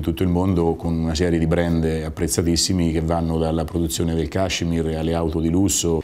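At a fairly quick pace, a man talks in a very deep, low pitch. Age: 50s. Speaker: business owner. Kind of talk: interview testimony; interview answer. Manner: halting, with repetitions. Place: office. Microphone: lapel.

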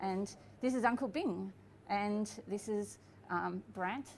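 A woman's fairly even intonation over light background noise. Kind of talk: casual explanation to camera. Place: cafe.

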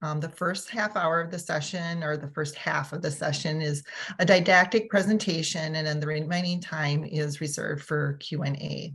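At a moderate pace, a woman speaks with a very deep, low pitch and fairly even intonation. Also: quiet background. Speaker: webinar host. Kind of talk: webinar host introduction. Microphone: video call.

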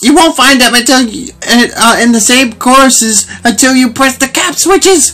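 Squeaky and clearly a put-on character voice, the speech moves at a moderate pace over light background noise.

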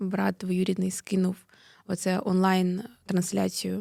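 A woman at a fairly slow pace, in a dry, close sound with no echo, on a very clean recording with a silent background. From Mariupol, eastern Ukraine. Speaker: activist, daughter of a prisoner of war. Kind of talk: interview. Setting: studio.

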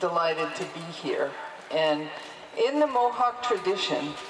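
Over noticeable background noise, a woman talks at a fairly slow pace with lively intonation. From Mohawk (Haudenosaunee) and Quebecoise heritage. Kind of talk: speech at a protest rally. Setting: outdoors. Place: street. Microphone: handheld.

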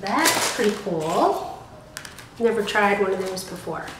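Noticeable background noise runs under a woman's voice. She goes at a fairly slow pace with ordinary pitch variation. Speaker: beauty box reviewer. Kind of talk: casual unboxing review.

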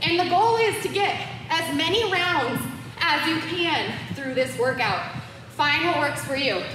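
A woman's raised, projected, extremely high voice, upbeat in tone with lively intonation at a fairly slow pace, amid noticeable background noise and audible room echo. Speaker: fitness instructor. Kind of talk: live-cued home boxing workout instruction, counting reps and cueing moves. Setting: home-workout video recorded in studio. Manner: upbeat, encouraging coach energy, pushing viewers through rounds; casual and playful, joking asides and laughter. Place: gym. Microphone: camera far.

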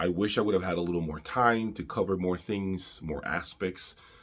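A man with a very deep, low pitch talks at a moderate pace, keeping his intonation fairly even. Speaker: audio reviewer. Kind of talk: casual vlog chat. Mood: grateful, sincere. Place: home room.

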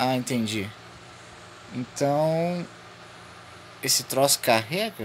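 The man's pitch is medium, and his pace is very slow. He leaves long, frequent pauses. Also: lively intonation. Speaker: gaming youtuber. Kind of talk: let's play commentary. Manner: animated.

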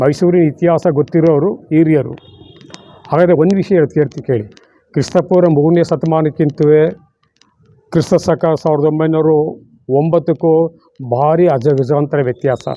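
This man's voice sits fairly high for a man, with fairly even intonation and very even loudness. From Mysuru, Karnataka, India. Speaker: author and amateur historian. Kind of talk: interview, historical account. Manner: halting, with frequent pauses.

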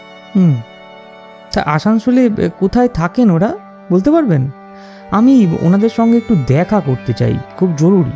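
With clear music in the background, a man does a put-on character voice at a high pitch and moderate pace. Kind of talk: audio drama dialogue.

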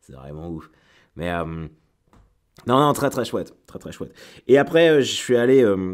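Recorded very cleanly over a silent background, a man at medium pitch speaks fairly slowly, with very wide pitch swings, big shifts in loudness and long, frequent pauses. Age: 30s. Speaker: comedian. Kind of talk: casual chat. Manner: halting.

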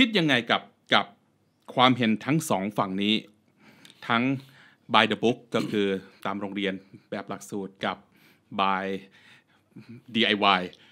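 With a bright, sharp tone, a man speaks at fairly low pitch with ordinary pitch variation in a very clean recording with a silent background. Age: 40s. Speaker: podcast host. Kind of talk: casual chat.

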